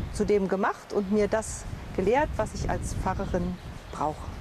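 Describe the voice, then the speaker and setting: Noticeable background noise runs behind a woman's voice. She speaks at a very slow pace. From Berlin, Germany. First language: German (speaking French). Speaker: pastor. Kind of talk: interview testimony.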